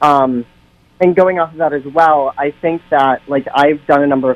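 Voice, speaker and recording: A plain, everyday voice from a man, fairly high in pitch, with fairly even intonation at a moderate pace. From central Massachusetts, US. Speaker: drag performer. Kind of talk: radio interview debate. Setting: phone call.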